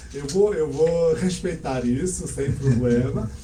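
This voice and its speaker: A man speaks at a fairly slow pace. Audible room echo and noticeable background noise fill the recording. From Portugal (Azores heritage), born in Canada. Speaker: language school owner, teacher. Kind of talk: interview. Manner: calm, measured.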